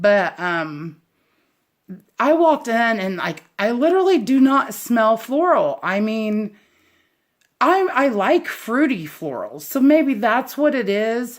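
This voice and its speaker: A woman with a fairly high pitch, very wide pitch swings and a slight Southern US accent, at a very slow pace. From US South. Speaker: candle reviewer, YouTuber. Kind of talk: casual product review. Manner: rambling, hesitant with fillers.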